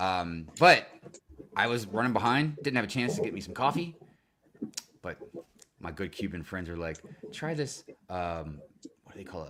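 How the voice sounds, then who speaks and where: In an American accent, a man with a fairly low, bright, sharp voice talks at a fairly quick pace in an animated tone, with very wide pitch swings, big swings in loudness, and long, frequent pauses. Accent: American, thick (self-described, joking). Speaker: livestream co-host. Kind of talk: casual chat.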